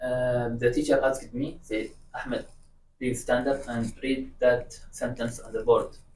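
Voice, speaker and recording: Audible room echo is present in the recording. A man talks through it at a fairly slow pace. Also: big swings in loudness. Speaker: guest sharing personal experience. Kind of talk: casual chat. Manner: stutter; halting.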